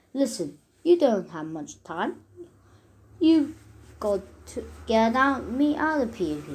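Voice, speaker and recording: A female-sounding, raspy put-on character voice with a fairly high pitch and very wide pitch swings. It moves at a fairly slow pace with long, frequent pauses. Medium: read story. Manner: bossy, sarcastic.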